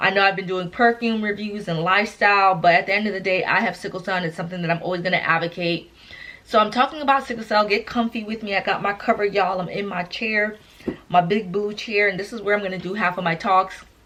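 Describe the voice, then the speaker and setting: Through noticeable background noise, a woman with medium pitch talks at a very fast pace in an animated tone. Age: 30s. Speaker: lifestyle vlogger with sickle cell. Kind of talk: casual vlog talk to camera. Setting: sitting in armchair at home. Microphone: poor recording quality.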